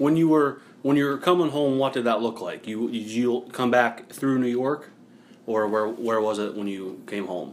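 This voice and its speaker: A man's unremarkable speaking voice at a moderate pace, medium in pitch with ordinary pitch variation. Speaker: podcast host and teacher, interviewing his grandfather. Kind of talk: casual podcast intro and interview.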